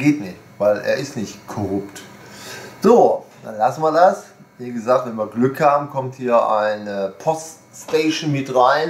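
Audible room echo around a man speaking at a fairly slow pace, with big swings in loudness. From Germany. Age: 60s. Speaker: video blogger, shop owner; shop owner vlogger. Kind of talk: casual monologue. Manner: rambling, hesitant with fillers. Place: home room.

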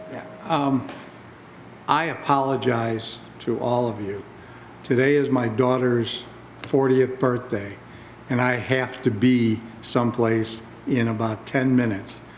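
A man speaks at a medium pitch and a fairly slow pace, his intonation monotone and flat, with long, frequent pauses. Noticeable background noise and audible room echo fill the recording. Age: 60s. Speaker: village board member. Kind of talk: public board meeting. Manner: halting, many fillers.

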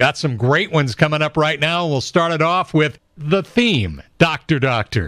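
A man speaks at a moderate pace with an American accent. The sound is dry with no echo, and the background is quiet. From Southern California. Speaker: classic rock radio host. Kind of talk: radio show host patter between songs. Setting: radio broadcast. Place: studio.

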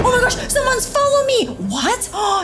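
A woman talks while clear music is heard in the background. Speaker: reaction video host. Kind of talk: reading texts aloud and commentary.

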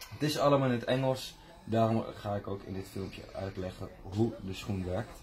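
A man speaks at a moderate pace with fairly even intonation. Music plays in the background. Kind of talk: product unboxing tutorial. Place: shop. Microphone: phone near.

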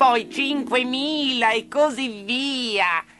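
A put-on character voice, female-sounding, with clear music in the background. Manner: smooth, courteous, wheedling.

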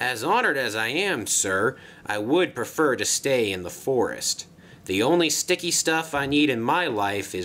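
The reading voice sounds natural. Its intonation is lively.

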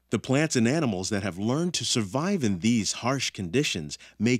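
Against a quiet background, a man's pitch swings very widely, and the sound is dry with no echo. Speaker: ride narrator. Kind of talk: scripted narration.

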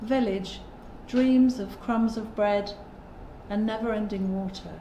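A woman speaks very slowly in a fairly high, flat monotone, with audible room echo and light background noise. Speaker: poet in residence. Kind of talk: spoken word poem performance, reading aloud. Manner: rhythmic, driving rhyme and emphatic delivery. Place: home room.

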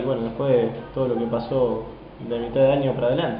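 A man's voice carries audible room echo. Light background noise runs underneath. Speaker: professional footballer. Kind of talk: interview. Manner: halting. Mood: relaxed, smiling. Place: kitchen. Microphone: camera far.

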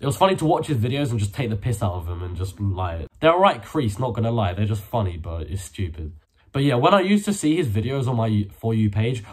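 At a fairly quick pace, a man speaks in a somewhat breathy voice whose pitch swings very widely. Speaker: youtuber. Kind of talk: casual vlog chat. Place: home room. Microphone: phone near.

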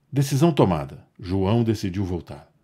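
A man speaks at a moderate pace in a fairly low pitch, his tone warm and theatrical yet dark and mellow. The recording is very clean with a silent background. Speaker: narrator. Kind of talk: scripted storytelling narration with dramatic, nostalgic flourishes. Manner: warm, measured storyteller delivery; wistful, theatrical pacing with emphatic pauses.

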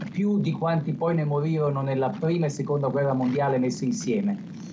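Over noticeable background noise, a man with a fairly high voice speaks with lively intonation. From Italy. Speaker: US correspondent; foreign correspondent. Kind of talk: live news analysis. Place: home room. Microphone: video call.

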